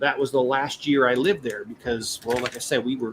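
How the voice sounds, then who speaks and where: Noticeable background noise under a man talking at a medium pitch. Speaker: toy building livestreamer. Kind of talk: casual live stream chat. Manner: hesitant, many fillers.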